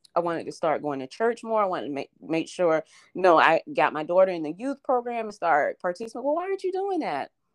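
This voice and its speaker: Over a quiet background, a woman talks at a very fast pace with hardly any pauses and very wide pitch swings, her sound dry and close with no echo. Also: medium pitch for a woman. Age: 40s. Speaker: childhood friend of the host. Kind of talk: casual chat. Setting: phone call.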